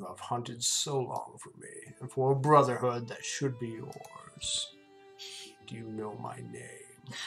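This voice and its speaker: A put-on character voice at low-to-middle pitch and a fairly slow pace, with music clearly heard in the background. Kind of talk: dramatic reading of game dialogue. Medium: game stream. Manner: crooning, menacing, grandiose.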